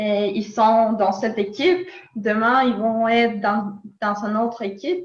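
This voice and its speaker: A woman with a slight Latin American accent speaks at a very slow pace, somewhat breathy and fairly high, with ordinary pitch variation. Audible room echo surrounds her voice. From Nicaragua. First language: Spanish (speaking French). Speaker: philosopher. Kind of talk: interview. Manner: hesitant, many fillers.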